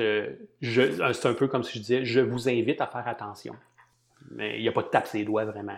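Moderate pace and fairly even intonation in a Quebec accent. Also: man. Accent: Québécois French. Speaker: marketing and analytics consultant and lecturer. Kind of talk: interview conversation. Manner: hesitant, many fillers and repetitions.

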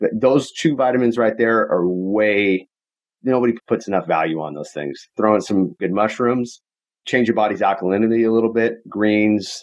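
A man with an ordinary speaking voice talks at a moderate pace. His pitch is fairly low, with ordinary pitch variation. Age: 30s. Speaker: real estate investor. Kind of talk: interview. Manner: casual.

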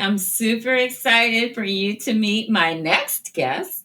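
With lively intonation and a fairly high pitch, a woman talks in an ordinary speaking voice. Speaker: podcast host. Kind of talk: casual interview. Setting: studio.

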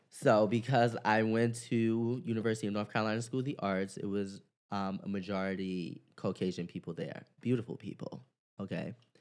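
Over a quiet background, a man has a normal speaking voice, fairly low in pitch, with ordinary pitch variation and a fairly quick pace. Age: 20s. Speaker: yoga teacher and dancer. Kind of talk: casual interview.

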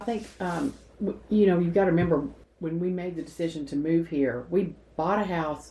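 A woman speaks with a Southern US accent at a fairly low pitch and a moderate pace. Her tone is dark and mellow, with ordinary pitch variation. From Nashville, Tennessee. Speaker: retired gift shop owner. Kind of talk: casual interview.

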